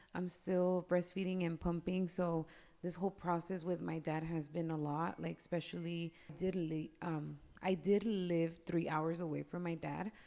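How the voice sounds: A woman's fairly low, dark and mellow voice with vocal fry, little pitch movement and a moderate pace.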